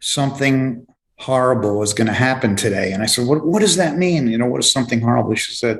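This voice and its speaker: A man with a New York accent, at a medium pitch. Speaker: author and grief specialist. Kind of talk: interview. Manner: halting, many fillers.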